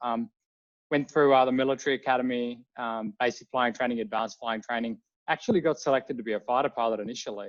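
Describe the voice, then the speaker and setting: A man talks very fast in an Australian accent at a medium pitch with ordinary pitch variation. The sound is dry and close with no echo, over a quiet background. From Australia, Melbourne. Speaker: drone company CEO, former air force pilot. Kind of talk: interview.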